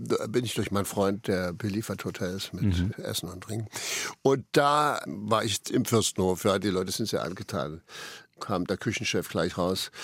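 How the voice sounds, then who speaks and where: In a very clean recording with a silent background, a man with a normal speaking voice talks at a moderate pace, his fairly low pitch showing ordinary variation. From Saxony, Dresden. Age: 60s. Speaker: actor. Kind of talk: radio interview.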